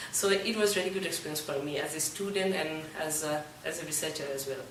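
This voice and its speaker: The speech moves at a fairly quick pace. Noticeable background noise can be heard. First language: Bengali. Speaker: student researcher. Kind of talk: interview.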